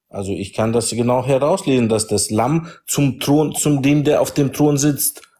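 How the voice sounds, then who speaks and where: A man's somewhat breathy voice with a dark, mellow tone, medium pitch and ordinary pitch variation, at a fairly slow pace with hardly any pauses, on a very clean recording with a silent background. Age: 40s. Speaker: caller in religious debate. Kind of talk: religious debate.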